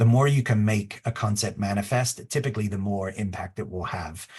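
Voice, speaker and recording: Over a quiet background, a man with a fairly low, somewhat breathy voice talks at a fairly quick pace with fairly even intonation. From England. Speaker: design consultant. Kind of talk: webinar presentation. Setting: online webinar. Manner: casual, filler-heavy.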